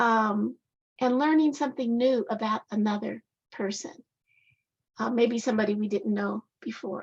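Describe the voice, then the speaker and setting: With an American accent, a somewhat breathy woman speaks at a moderate pace and fairly high pitch, leaving long, frequent pauses. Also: ordinary pitch variation. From Colorado. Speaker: author. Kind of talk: speech. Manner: hesitant, many fillers.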